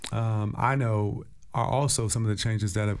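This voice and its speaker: Using an American accent, a man speaks at a moderate pace. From Washington, DC (Stronghold, Ward 5). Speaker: city councilmember. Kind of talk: interview answer. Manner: conversational, reflective storytelling with many fillers. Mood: warm, reflective. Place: studio. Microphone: studio mic.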